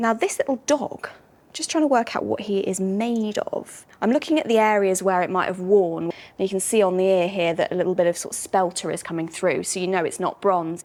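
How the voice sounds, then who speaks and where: A woman talks at a fairly quick pace in a British accent. Her pitch is medium, with ordinary pitch variation. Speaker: antiques expert. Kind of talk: casual presenting to camera.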